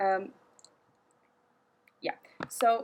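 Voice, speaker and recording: A woman with a non-native accent. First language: not English. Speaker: product reviewer. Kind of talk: product review. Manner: halting.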